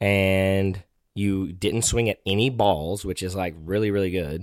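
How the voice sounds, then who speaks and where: A man with an unremarkable speaking voice, fairly low in pitch, at a moderate pace on a very clean recording with a silent background. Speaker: podcast host, father. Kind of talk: casual chat. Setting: home recording.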